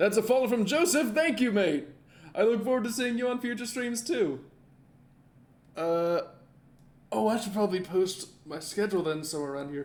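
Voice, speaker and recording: A man's high-pitched voice with very wide pitch swings and long, frequent pauses. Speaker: gaming streamer. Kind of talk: live gameplay commentary. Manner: fast, mumbling.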